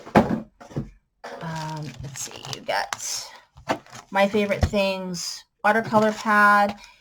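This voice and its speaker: Amid noticeable background noise, a woman speaks at a very slow pace with big swings in loudness. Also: ordinary pitch variation. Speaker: crafter selling supplies. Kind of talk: sales pitch. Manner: casual, with fillers.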